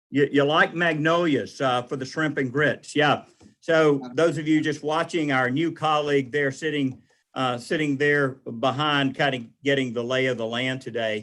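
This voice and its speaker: A man's fairly high-pitched voice with fairly even intonation, in a very clean recording with a silent background. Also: moderate pace. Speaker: utility commissioner. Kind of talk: committee meeting chairing. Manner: loud; casual.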